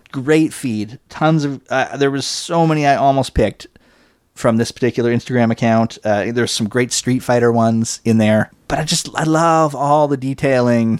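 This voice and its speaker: A man with a plain, everyday voice speaks at a medium pitch and moderate pace with ordinary pitch variation. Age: 40s. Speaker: podcast host. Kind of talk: casual banter, comedic chat.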